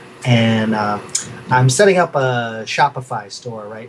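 Over noticeable background noise, a man with an American accent speaks at medium pitch and a fairly slow pace. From New York City, Queens. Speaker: artist. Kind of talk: casual interview chat. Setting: video call from his studio.

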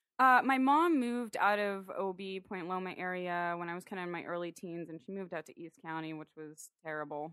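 In an American accent, a woman speaks at a medium pitch with ordinary pitch variation and hardly any pauses. Her loudness swings widely, and the recording is very clean with a silent background. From San Diego, California (Ocean Beach). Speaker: painter. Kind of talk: casual chat. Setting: home studio.

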